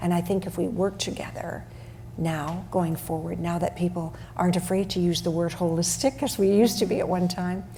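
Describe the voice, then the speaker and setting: The voice has a dark, mellow tone with vocal fry and fairly even intonation. It moves at a fairly quick pace. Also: woman, fairly low pitch for a woman. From western Canada (Alberta/Saskatchewan). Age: 70s. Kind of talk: panel discussion.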